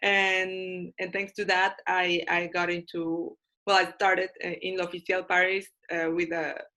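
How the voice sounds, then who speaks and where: The tone is bright and sharp, with monotone, flat intonation. The pace is fairly slow. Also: woman. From Mexico (Tepic, Nayarit). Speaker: fashion magazine co-founder. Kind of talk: webinar panel introduction. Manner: halting, many fillers and repetitions.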